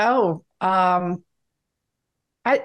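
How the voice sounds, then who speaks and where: A plain, everyday voice from a woman, medium in pitch, with lively intonation. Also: quiet background. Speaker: security industry advisor, co-host. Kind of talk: interview.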